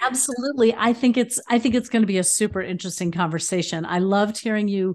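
Against a quiet background, a woman talks at a fairly quick pace with ordinary pitch variation in an unremarkable speaking voice. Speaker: podcast host. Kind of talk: interview conversation.

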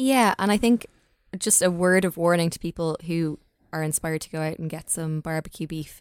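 Speaking at a fairly quick pace with an Irish accent, a woman uses a fairly low pitch and ordinary pitch variation, recorded very cleanly against a silent background with a dry, close sound and no echo. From Ireland. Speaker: food blogger. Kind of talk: casual chat.

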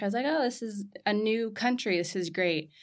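A woman with an American accent, lively intonation, and a moderate pace, on a very clean recording with a silent background. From Southern California. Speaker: entrepreneur, textile company founder. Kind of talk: interview. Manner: casual, many fillers like 'like'.

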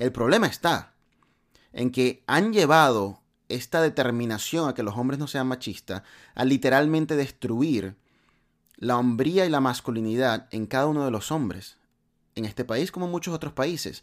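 The recording is very clean with a silent background. A man talks at medium pitch and a moderate pace with lively intonation. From Latin America. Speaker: podcast host. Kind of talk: motivational monologue.

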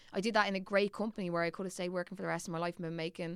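A Dublin accent at a very fast pace. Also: woman. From Ireland, Dublin. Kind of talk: casual chat.

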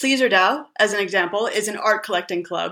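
A woman with an American accent speaks at a fairly high pitch, her bright, sharp tone carrying lively intonation on a very clean recording with a silent background. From California. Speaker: writer and crypto organization co-founder. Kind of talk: interview.

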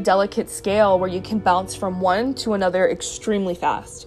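Noticeable background noise sits behind a woman's voice. She keeps a moderate pace and fairly even intonation. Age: 20s. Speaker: podcast host. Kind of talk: personal monologue. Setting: home.

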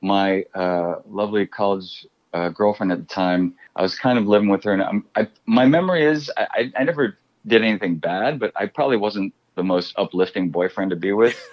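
A man with an American accent has an ordinary speaking voice and a fairly low pitch. He keeps a moderate pace with ordinary pitch variation. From US Midwest, Chicago. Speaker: actor. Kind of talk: interview storytelling.

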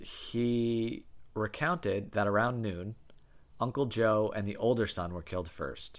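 Speaking at a fairly slow pace, a man uses a plain, everyday voice with medium pitch and ordinary pitch variation. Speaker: podcast co-host. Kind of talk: casual chat, true crime storytelling. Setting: living room recording, at home. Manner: playful, banter.

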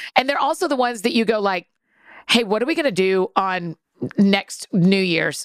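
At a moderate pace, a woman with a plain, everyday voice and medium pitch uses lively intonation in a dry, close sound with no echo. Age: 40s. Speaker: author and podcaster. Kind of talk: casual chat. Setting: studio.

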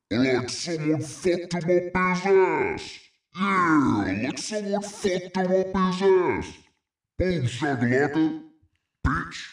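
A man uses a put-on character voice with a high pitch at a fairly slow pace. There is audible echo. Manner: aggressive, shouting.

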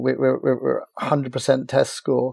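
A man speaks with a Cork accent. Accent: Irish (Cork). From Ireland, Cork. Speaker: sports marketing agency founder. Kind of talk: interview. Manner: halting, repeats words.

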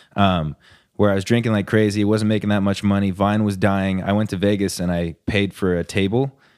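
Very clean recording with a silent background. A man speaks fairly quickly in a plain, everyday voice with a fairly low pitch. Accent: American. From US West Coast, Orange County, California. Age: 20s. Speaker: musician and internet comedian. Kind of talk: casual chat.

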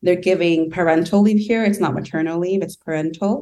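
The speaker is a woman with a fairly low pitch. Her pitch variation is ordinary. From Southern California. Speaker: UN intern in development programs. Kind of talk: interview conversation.

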